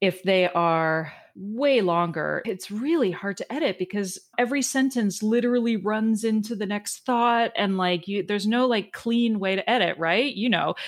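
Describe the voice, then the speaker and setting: Here is a woman with an unremarkable speaking voice. She talks at a medium pitch and a moderate pace. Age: 40s. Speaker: podcast host and health coach. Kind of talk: casual interview chat.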